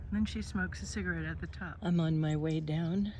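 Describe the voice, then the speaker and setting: The speaker talks at a moderate pace. The accent is American. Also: woman. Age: 50s. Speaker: life coach and vlogger. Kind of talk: casual vlog monologue. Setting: outdoors on a hiking trail.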